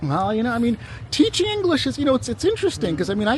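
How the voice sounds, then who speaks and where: With noticeable background noise, a man talks with an American accent. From US, New York City. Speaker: travel vlogger. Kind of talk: casual chat. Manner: halting.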